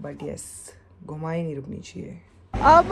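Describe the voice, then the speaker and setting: Very slowly, a woman speaks amid audible room echo and noticeable background noise. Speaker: travel vlogger. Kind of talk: travel vlog.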